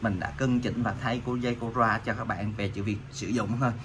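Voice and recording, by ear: Fairly quick, fairly even speech from a man with a fairly low pitch, over clear background noise.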